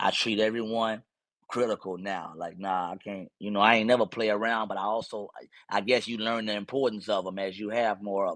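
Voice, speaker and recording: Against a quiet background, a man with a Mississippi accent speaks at a fairly quick pace and fairly low pitch, his intonation flat and monotone while his loudness swings widely. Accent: Mississippi coastal twang. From US South, Mississippi Gulf Coast. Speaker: battle rapper. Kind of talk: casual interview.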